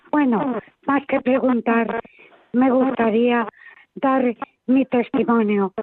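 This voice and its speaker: Her pitch is high, and her intonation is fairly even. The woman speaks very slowly with long, frequent pauses. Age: 80s+. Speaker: caller, charity volunteer. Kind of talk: testimony.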